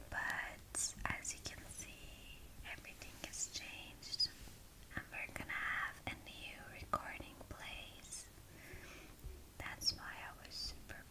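A woman whispers very slowly through noticeable background noise. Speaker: ASMR creator. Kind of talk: casual talk to camera, ASMR intro.

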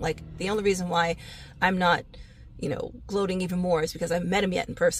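Over light background noise, a woman talks at a fairly quick pace in a fairly low, animated voice with vocal fry and a dry sound with no echo. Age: 40s. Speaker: real estate agent. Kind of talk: casual comedic vlog monologue. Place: car. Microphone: phone near.

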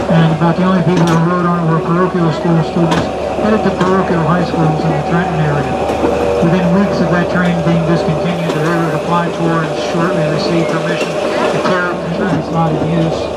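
The speech moves at a fairly quick pace. Loud noise fills the background. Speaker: tourist railroad tour guide. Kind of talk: guided tour commentary. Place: train.

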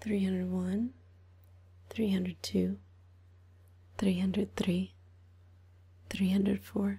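Soft-spoken and relaxed in tone, a woman talks at a very slow pace. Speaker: ASMR creator. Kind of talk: ASMR counting to help sleep. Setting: binaural 3D microphone, ear to ear. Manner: soft-spoken, relaxed, slow counting. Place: home room. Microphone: studio mic.

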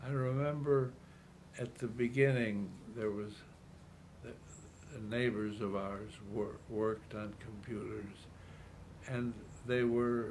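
A man with a Chicago accent speaks at a very slow pace with ordinary pitch variation. Light background noise is present. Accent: Chicago American English. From US Midwest, Chicago. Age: 80s+. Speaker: retired city politician. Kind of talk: elderly man reminiscing about a century of change in an interview. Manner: halting, repeating words as he gathers his thoughts; quietly marveling, earnest wonder. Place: home room.

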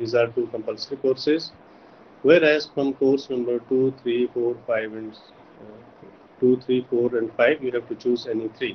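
The intonation is monotone and flat. There is light background noise. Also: man. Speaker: university lecturer. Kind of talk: lecture. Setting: video call. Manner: formal. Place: home room. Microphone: video call.

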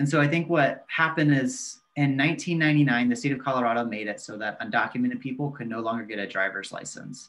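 In an American accent, the voice moves at a fairly quick pace with lively intonation and big swings in loudness. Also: man. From Texas, near San Antonio; Texas. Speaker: community organizer; guest. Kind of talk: interview. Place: home room. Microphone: video call.

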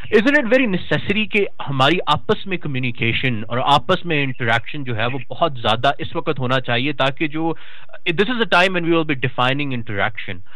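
Noticeable background noise surrounds a man whose voice is fairly high in pitch. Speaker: talk show host. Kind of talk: interview discussion on politics. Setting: phone or video call with audio trouble. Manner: formal, mixes English and Urdu.

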